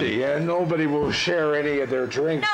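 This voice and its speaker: A man in a put-on character voice at a fairly quick pace, over loud background noise. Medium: game stream.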